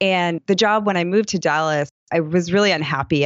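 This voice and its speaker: The speaker is a woman. Her pitch sits fairly low. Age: 30s. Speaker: yoga teacher and studio owner. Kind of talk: interview. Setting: podcast interview. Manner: animated.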